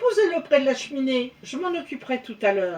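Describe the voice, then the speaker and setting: A put-on character voice at a fairly quick pace with very wide pitch swings. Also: woman. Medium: read story.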